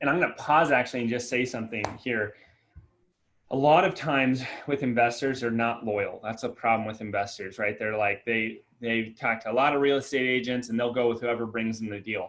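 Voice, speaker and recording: A man talks at a fairly quick pace, his medium pitch held in fairly even intonation. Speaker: real estate broker. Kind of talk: office meeting presentation. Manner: fast.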